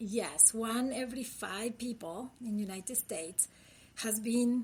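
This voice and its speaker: A somewhat breathy woman's voice with a Uruguayan accent. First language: Spanish. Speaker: critical care physician. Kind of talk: interview podcast.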